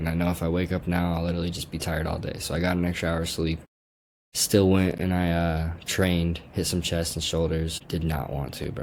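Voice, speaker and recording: A man with a very deep, low voice and an American accent speaks at a fairly quick pace. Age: 20s. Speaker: vlogger. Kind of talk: casual vlog. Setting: at home, screen share. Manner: casual, slangy.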